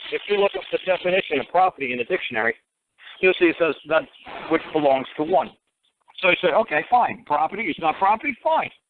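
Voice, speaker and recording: Speaking very fast with a New York accent, a man uses a high pitch and lively intonation while leaving long, frequent pauses. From New York City, Bronx. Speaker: common law talk show host. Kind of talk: call-in radio advice. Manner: animated.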